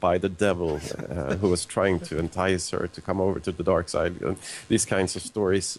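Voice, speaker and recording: A man's very deep, low-pitched voice at a moderate pace. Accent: Swedish. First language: Swedish. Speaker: zoologist and author. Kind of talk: live call-in discussion.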